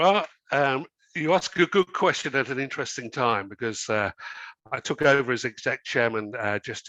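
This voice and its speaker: A bright, sharp voice with an English accent moves at a moderate pace. The sound is dry and close with no echo, over a quiet background. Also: man. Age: 60s. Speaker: company chairman. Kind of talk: interview. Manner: hesitant, many fillers.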